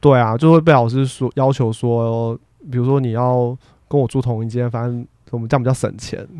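A man speaks at a fairly quick pace in a medium pitch, his dark, mellow tone delivered in a flat monotone with a dry, close sound and no echo. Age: 30s. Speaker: university professor. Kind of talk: casual interview chat.

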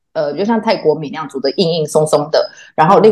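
This woman speaks with a fairly low pitch. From Taiwan. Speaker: theatre artist. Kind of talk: casual chat.

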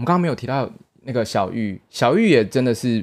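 The recording is very clean with a silent background. A man talks with lively intonation at a fairly quick pace. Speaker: podcast co-host, theatre performer. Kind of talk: casual chat.

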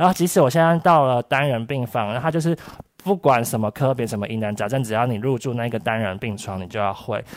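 A man with an unremarkable speaking voice talks fairly quickly at a medium pitch with lively intonation. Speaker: hospital nurse. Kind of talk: casual chat.

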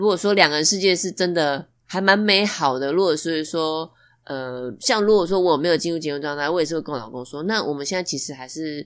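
A woman with an ordinary speaking voice talks at a fairly quick pace, fairly low in pitch with ordinary pitch variation and big swings in loudness, on a very clean recording with a silent background. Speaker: podcast guest, newlywed. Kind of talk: casual chat.

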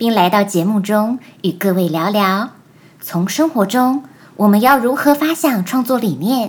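With an ordinary speaking voice, a woman talks at a fairly slow pace, using a fairly high pitch and lively intonation. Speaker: podcast host. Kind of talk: scripted interview questions. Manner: formal.

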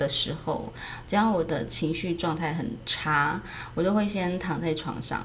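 A soft-spoken woman's fairly low-pitched voice at a fairly slow pace, with ordinary pitch variation, audible room echo and noticeable background noise. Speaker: acting teacher. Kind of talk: casual chat.

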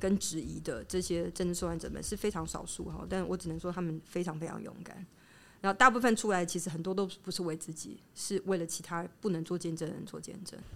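A woman with a fairly low pitch and vocal fry keeps her intonation fairly even while her loudness swings a lot. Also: fairly quick pace. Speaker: academic researcher in anthropology and psychoanalysis. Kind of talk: interview conversation. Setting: on location in her research institute.

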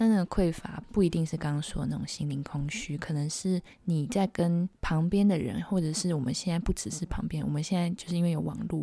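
A quiet woman at a fairly quick pace, ordinary pitch variation, noticeable background noise behind her. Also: fairly low pitch for a woman. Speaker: podcast co-host and illustrator. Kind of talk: casual chat. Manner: hushed, lowered voice.

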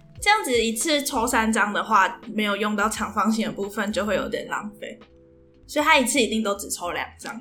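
Over noticeable background noise, a woman talks fairly quickly in a fairly high voice with ordinary pitch variation. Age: 20s. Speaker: podcast co-host. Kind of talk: casual chat. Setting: in-person recording together.

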